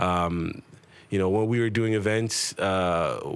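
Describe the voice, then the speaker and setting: A man speaks in a plain, everyday voice, pitched fairly low, with fairly even intonation. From Toronto, Canada (Jamaican family). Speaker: event promoter and talent booker. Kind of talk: casual interview.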